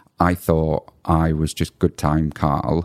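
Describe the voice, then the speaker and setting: A man with a British accent speaks in a very deep, low voice. The sound is dry and close with no echo. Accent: UK English. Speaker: podcast host. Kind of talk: casual interview chat.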